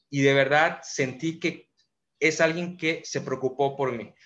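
A man in a plain, everyday voice, fairly high pitched and fairly slow. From Mérida, Yucatán, Mexico. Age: 30s. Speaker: entrepreneur and motivational speaker. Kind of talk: motivational monologue.

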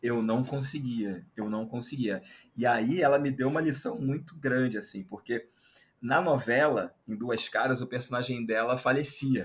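Somewhat breathy, a man speaks at a fairly slow pace in a medium pitch with ordinary pitch variation. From Brazil, Rio de Janeiro. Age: 30s. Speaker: journalist, anthropologist and content creator. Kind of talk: casual interview chat.

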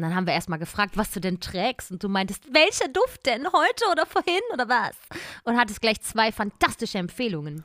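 In a dry, close sound with no echo, a woman speaks in an animated tone with very wide pitch swings. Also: fairly high pitch for a woman, fairly quick pace. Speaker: voice actress and podcast co-host. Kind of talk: casual chat. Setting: remote call.

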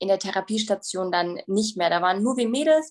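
A woman at medium pitch with an ordinary speaking voice, ordinary pitch variation and a fairly quick pace. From Bavaria, Germany. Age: 20s. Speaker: bodybuilding athlete and recovery coach. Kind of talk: personal testimony interview.

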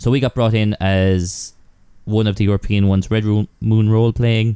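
Speaking at a moderate pace with an Irish accent, a man uses a fairly low, dark, mellow voice in a monotone, flat delivery. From Ireland. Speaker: podcaster. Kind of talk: casual chat.

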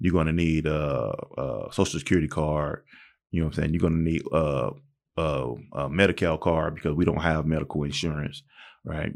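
A man's very deep, low voice with vocal fry, in an American accent. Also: fairly even intonation, quiet background. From Southern California (Pomona, Palm Springs). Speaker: former prisoner, drug and alcohol counselor. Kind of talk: interview. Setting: studio. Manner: halting.

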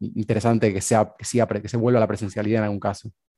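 Heard with a dry, close sound with no echo, the voice has a dark, mellow tone and a Rioplatense accent. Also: man. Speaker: podcast host. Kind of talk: interview.

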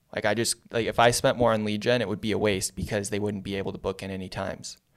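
Intonation stays fairly even in this voice with a Californian accent. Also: man. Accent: Californian American. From US West Coast, San Diego. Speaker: marketing agency founder. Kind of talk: casual interview. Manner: casual, filler-heavy.

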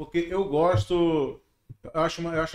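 A man speaks with a high pitch. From Manaus, Brazil. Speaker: comedian. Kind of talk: casual chat.

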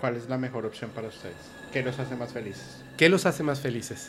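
The voice has ordinary pitch variation. Noticeable background noise runs underneath. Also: man. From Yucatán, Mexico. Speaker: paranormal podcast host. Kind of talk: casual chat.

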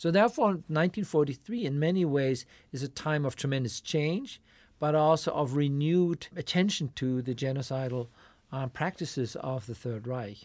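A man speaks at a moderate pace with fairly high pitch and lively intonation, in a normal speaking voice. The recording is very clean, with a silent background. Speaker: professor. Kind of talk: academic discussion. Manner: formal.

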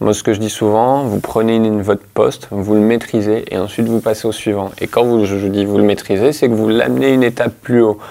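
A man with a fairly low pitch and a dark, mellow tone speaks at a fairly quick pace. His intonation is fairly even, with hardly any pauses. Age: 30s. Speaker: hotel manager. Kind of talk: interview.

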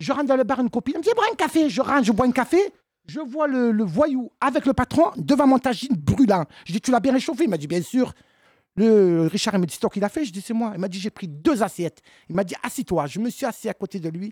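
A woman talks at a fairly quick pace in a fairly high pitch with very wide swings. The recording is very clean with a silent background and a dry, close sound with no echo. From Marseille, southern France. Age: 50s. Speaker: comedian. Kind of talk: casual chat. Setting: stage with audience.

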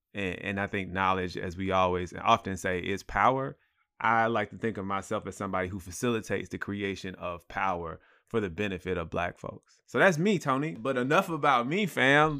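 The speaker's American accent carries very wide pitch swings at a fairly quick pace, recorded very cleanly with a silent background. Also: man. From US South, Atlanta area. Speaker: nonprofit founder. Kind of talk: casual conversation.

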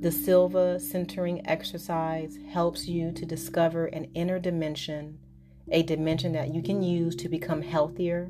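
Over music in the background, a woman speaks in a very deep, low pitch with a calm, soothing tone and ordinary pitch variation. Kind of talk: guided hypnosis relaxation induction. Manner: slow, calm, soothing, hypnotic and repetitive.

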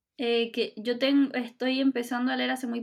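With a Chilean accent, a woman speaks at a high pitch and with lively intonation. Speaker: podcast co-host. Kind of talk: casual chat.

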